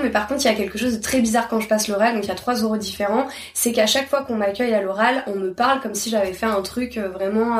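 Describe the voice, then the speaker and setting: Over noticeable background noise, a woman talks very fast with a fairly high pitch and ordinary pitch variation. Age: 30s. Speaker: literature teacher. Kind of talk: interview. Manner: halting.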